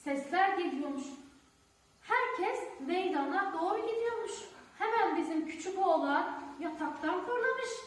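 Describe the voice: Amid strong room echo, a woman speaks at an extremely high pitch with lively intonation. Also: fairly slow pace.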